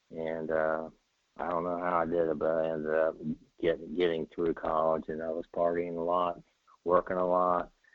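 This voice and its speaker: Speaking at a moderate pace with an American accent, a man keeps a flat, monotone delivery in a very deep, low pitch. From US Midwest. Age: 60s. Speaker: person in recovery. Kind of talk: testimony. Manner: halting.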